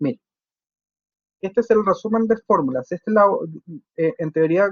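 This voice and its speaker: With lively intonation, a man speaks at a moderate pace and a high pitch. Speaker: engineering lecturer. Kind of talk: online lecture. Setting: video call class. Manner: halting, many fillers.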